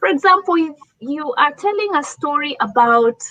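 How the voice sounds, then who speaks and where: A woman's high, bright, sharp voice in an African accent, fairly slow, with very wide pitch swings. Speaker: leadership speaker. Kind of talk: talk show presentation.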